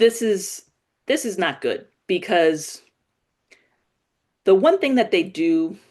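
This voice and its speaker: Her intonation is lively, and her pitch is medium. The woman speaks very slowly, with long, frequent pauses. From New York City, the Bronx. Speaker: political commentary host. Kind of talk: live political commentary. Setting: live stream. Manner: casual, conversational with fillers.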